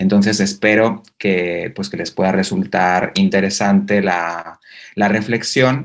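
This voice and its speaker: A man at a fairly low pitch, very slow pace and fairly even intonation. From Spain. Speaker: university researcher. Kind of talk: conference talk. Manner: halting, many fillers.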